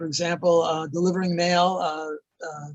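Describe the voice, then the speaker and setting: The voice belongs to a man and sits high in pitch. The sound is dry and close, with no echo. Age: 80s+. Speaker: economist. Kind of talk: interview. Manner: halting.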